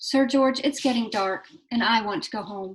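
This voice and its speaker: A woman performs a put-on character voice. She keeps a moderate pace. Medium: read story.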